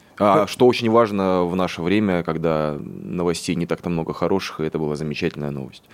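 With hardly any pauses, a man speaks in a very deep, low voice. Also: ordinary pitch variation, fairly quick pace. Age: 30s. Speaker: stage actor and scriptwriter. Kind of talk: radio interview. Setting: studio.

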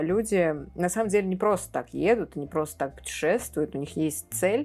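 Speaking at a moderate pace with lively intonation, a woman has an ordinary speaking voice in a very clean recording with a silent background. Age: 20s. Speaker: film podcast co-host. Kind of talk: casual chat.

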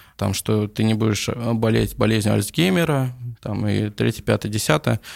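Here is a man with an unremarkable speaking voice, medium in pitch, with ordinary pitch variation. The recording is very clean, with a silent background. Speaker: coffee business owner. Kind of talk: casual interview.

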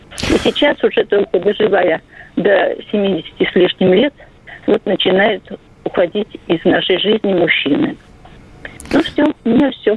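Amid noticeable background noise, a woman with a fairly high pitch and lively intonation speaks fairly slowly at a very even loudness, with long, frequent pauses. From Nizhny Novgorod. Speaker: caller. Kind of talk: phone-in story.

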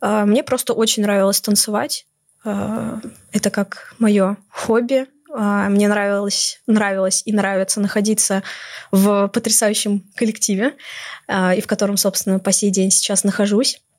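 Speaking at a fairly slow pace, a woman has an ordinary speaking voice, medium in pitch and very even in loudness. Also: fairly even intonation. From Moscow, Russia. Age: 20s. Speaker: university student. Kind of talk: podcast interview.

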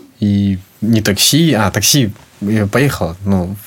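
Fairly low pitch marks this man's voice. Noticeable noise sits in the background. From Sakhalin, Russian Far East (Korsakov). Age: 20s. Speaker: flower shop co-owner. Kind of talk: interview.

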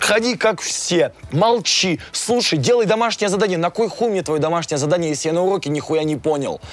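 A man with a high voice speaks at a fairly quick pace, barely pausing, with lively intonation and an animated tone. Noticeable background noise can be heard. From Russia, small town. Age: 20s. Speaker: musician and blogger. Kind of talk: interview.

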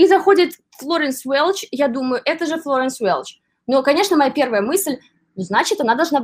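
Very wide pitch swings at a moderate pace, over a very clean recording with a silent background. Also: woman. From Belarus (Borisov area). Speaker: writer and luxury shop assistant. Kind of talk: casual interview.

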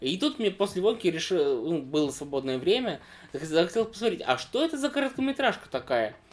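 The speaker talks at a fairly quick pace with very wide pitch swings. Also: man, high pitch for a man. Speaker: podcast co-host. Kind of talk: casual chat. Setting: indoor room with fireplace, in person.

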